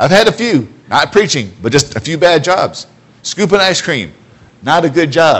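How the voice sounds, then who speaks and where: Loud and animated, a man with an American accent speaks at a high pitch. His intonation is lively and his pace moderate. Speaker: preacher. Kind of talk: sermon. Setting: church. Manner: loud, animated.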